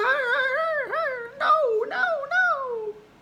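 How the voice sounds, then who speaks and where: An extremely high, squeaky put-on character voice carries an audible echo. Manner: mimicking how pitch goes up.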